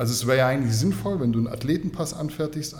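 A man with fairly high pitch, ordinary pitch variation and a fairly quick pace, against noticeable background noise. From Swabia, Germany (Kornwestheim). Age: 30s. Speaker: fitness journalist. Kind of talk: casual chat.

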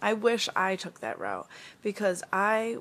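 In a plain, everyday voice, a woman speaks at a medium pitch and a moderate pace with ordinary pitch variation. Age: 20s. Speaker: podcast host. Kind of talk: casual monologue. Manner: many fillers, um and you know.

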